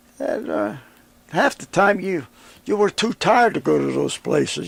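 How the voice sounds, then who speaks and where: A high-voiced man with an American accent, dry, close sound with no echo. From Western Pennsylvania. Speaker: war veteran. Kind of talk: interview answer.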